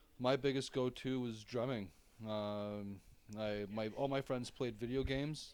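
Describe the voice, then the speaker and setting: Using a plain, everyday voice, a man with a Canadian accent speaks at a moderate pace and a medium pitch. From Ontario, small town. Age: 30s. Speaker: electronic metal musician. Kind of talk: casual interview.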